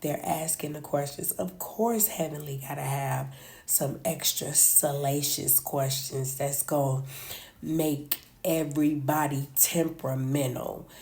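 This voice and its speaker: With audible room echo, a woman speaks at a fairly slow pace in a very deep, low pitch, somewhat breathy and with a dark, mellow tone and ordinary pitch variation. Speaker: reality TV commentator. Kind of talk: casual chat.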